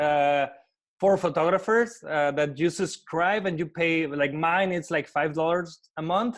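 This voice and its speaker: A man speaks with a Spanish accent at a fairly slow pace. The background is quiet. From Mexico. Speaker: wedding photographer. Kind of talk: interview. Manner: halting, many repetitions.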